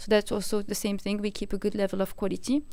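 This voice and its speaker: A woman's fairly high-pitched voice with a dark, mellow tone. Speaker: marketing lead at a software company. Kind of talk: live webinar presentation. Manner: fast.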